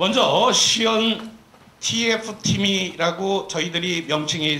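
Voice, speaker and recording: Lively intonation from a man, with audible room echo and noticeable background noise. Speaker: professor and study team leader. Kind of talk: press briefing presentation. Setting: press conference with TV cameras. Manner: formal; slightly trembling voice.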